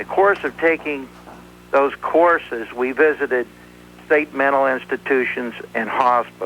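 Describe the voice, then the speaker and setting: This man has a fairly high pitch and an ordinary speaking voice, talking at a fairly slow pace with ordinary pitch variation. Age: 60s. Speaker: caller. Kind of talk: call-in comment.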